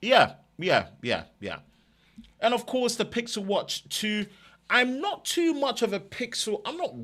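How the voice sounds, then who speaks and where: A man with an East London accent speaks at a moderate pace on a very clean recording with a silent background. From East London, England. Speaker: tech YouTuber. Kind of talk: live stream chat.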